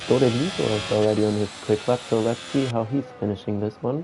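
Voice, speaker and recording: A man's medium pitch shows ordinary variation as music plays behind him. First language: not English. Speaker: sim racing commentator. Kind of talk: live commentary.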